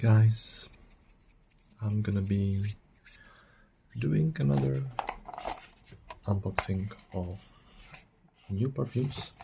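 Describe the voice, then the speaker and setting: Soft-spoken and very slow, the speech is broken up by long, frequent pauses. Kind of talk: ASMR perfume review.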